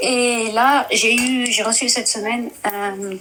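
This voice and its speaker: A woman talks with a non-native accent. Noticeable background noise sits behind her. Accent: non-native French, rusty. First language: Dutch (speaking French). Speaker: caller. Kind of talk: testimony. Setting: live stream call. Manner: halting, hesitant.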